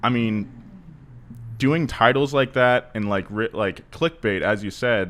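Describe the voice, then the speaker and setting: With an American accent, a man talks fairly slowly in a normal speaking voice, at medium pitch with ordinary pitch variation. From California, US. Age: 20s. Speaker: automotive YouTube presenter. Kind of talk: podcast interview. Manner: casual, lots of filler words.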